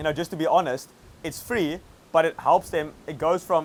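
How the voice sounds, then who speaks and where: A man speaks fairly quickly in a South African accent. His pitch is fairly high with ordinary variation. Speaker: agency owner and online coach. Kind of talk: interview. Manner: casual, filler-heavy.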